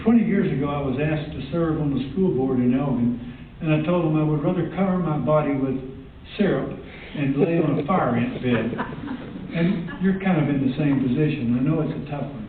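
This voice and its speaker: Amid noticeable background noise and audible room echo, a man talks at a moderate pace with a fairly high pitch and ordinary pitch variation. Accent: Texas. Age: 70s. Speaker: public commenter, landowner. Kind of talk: public comment at board meeting. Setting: public board meeting.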